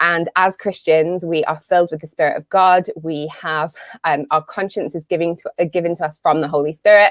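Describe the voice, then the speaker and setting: A woman's fairly low voice in a British accent, monotone and flat, at a fairly quick pace with hardly any pauses, in a dry, close sound with no echo. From UK. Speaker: business coach and marketer. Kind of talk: live webinar talk. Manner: casual with many fillers.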